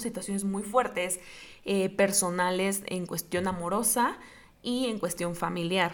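A woman talks at a medium pitch with ordinary pitch variation. Her pace is fairly slow. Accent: Mexican. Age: 20s. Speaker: podcast host. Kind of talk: personal testimony monologue. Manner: halting, repeats words.

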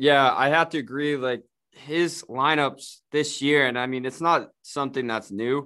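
The tone is bright and sharp, with fairly even intonation. Delivery is fairly slow against a quiet background. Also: man, fairly high pitch for a man. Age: 20s. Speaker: sports podcast co-host. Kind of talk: casual chat.

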